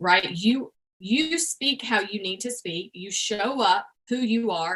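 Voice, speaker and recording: Her tone is bright and sharp, her pitch fairly high. The woman's intonation is lively. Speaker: YouTube coach. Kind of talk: interview.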